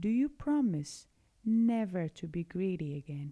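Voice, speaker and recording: A quiet, put-on character voice at a moderate pace. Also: woman, medium pitch for a woman. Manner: quieter, calmer.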